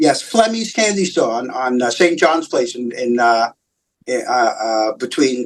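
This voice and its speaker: A man of medium pitch with a New York accent, fairly slow pace and lively intonation. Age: 60s. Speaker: comic book writer. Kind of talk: interview. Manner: halting, many fillers and repeats.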